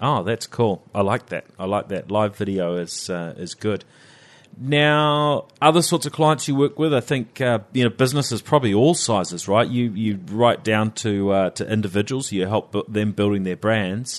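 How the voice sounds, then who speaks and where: Against a quiet background, a man with a New Zealand accent talks at a moderate pace. His pitch is fairly low and his intonation lively. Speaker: interviewer, guest host. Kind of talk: interview, casual chat.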